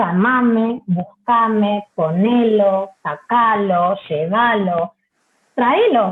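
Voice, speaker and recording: A woman talks with a Rioplatense accent. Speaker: Spanish teacher trainer. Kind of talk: lecture.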